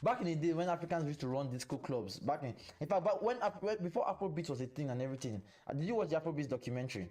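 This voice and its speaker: Talking at a very fast pace, a man uses a fairly high pitch and very wide pitch swings in a dark, mellow tone. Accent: Nigerian. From Nigeria. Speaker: podcast host. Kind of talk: casual chat. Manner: animated.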